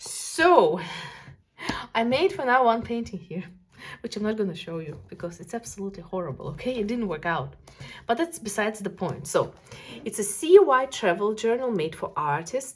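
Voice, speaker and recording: With a non-native accent and a somewhat breathy quality, the speaker moves at a moderate pace, broken by long, frequent pauses. Pitch swings very widely and loudness rises and falls sharply. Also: woman, fairly high pitch for a woman. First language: not English. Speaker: art youtuber. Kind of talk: casual video review of art supplies. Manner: animated.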